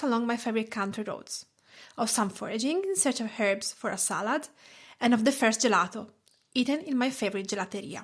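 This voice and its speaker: On a very clean recording with a silent background, a woman with a fairly high pitch speaks at a moderate pace with lively intonation. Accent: Italian. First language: Italian. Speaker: food blogger and podcast host. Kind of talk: podcast talk.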